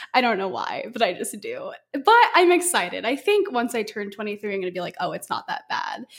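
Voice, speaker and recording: A woman speaks at a high pitch with very wide swings in pitch, at a fairly quick pace. Noticeable background noise runs behind her. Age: 20s. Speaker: social media content creator. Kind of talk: casual chat. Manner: animated.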